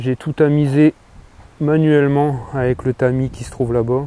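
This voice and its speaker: At a fairly slow pace, a man with a northern French accent speaks with fairly even intonation. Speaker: lawn care enthusiast. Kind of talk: casual tutorial talk to camera. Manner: hesitant, with filler words.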